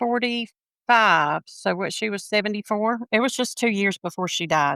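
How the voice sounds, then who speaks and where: In a Southern US accent, a woman speaks at a fairly high pitch with a bright, sharp tone, the sound dry and close with no echo. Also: very clean recording, silent background. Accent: Southern US (Georgia). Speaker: sports fan. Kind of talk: casual chat.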